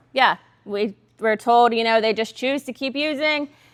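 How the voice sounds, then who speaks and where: A woman speaks with a Southern US accent at a high pitch. Her pitch varies in an ordinary way. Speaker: substance use counselor. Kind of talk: workshop talk. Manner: fast.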